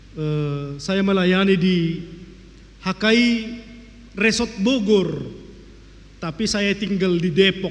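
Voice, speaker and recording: At a very slow pace with long, frequent pauses, a man talks in a high pitch with ordinary pitch variation. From North Sumatra, Tarutung (Batak Toba). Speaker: pastor. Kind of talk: sermon.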